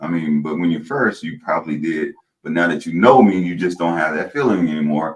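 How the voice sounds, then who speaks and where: Very deep and low, a man's voice comes through. He talks at a fairly quick pace. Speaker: podcast host. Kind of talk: podcast interview.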